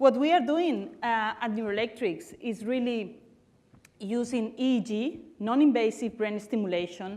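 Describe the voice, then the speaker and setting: With a Barcelona accent, a woman speaks at a moderate pace and a fairly high pitch, her dark, mellow tone carrying lively intonation against a quiet background. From Spain, Barcelona. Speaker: tech company CEO and founder. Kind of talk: conference talk.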